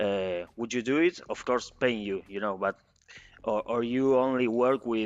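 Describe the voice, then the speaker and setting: A man speaks with a Spanish accent. His pitch is fairly low. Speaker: interviewer. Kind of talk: interview. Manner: halting.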